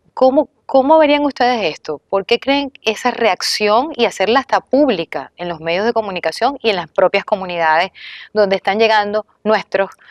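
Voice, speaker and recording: With a Venezuelan accent, a woman speaks at a moderate pace in a fairly high pitch with lively intonation. The sound is dry and close, with no echo. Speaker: TV talk show host. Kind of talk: talk show discussion.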